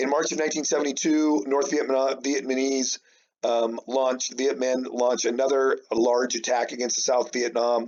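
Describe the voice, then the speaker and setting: In an unremarkable speaking voice with an American accent, a man speaks at medium pitch and a moderate pace with fairly even intonation. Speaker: high school history teacher. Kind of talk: recorded remote lesson. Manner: casual, many fillers.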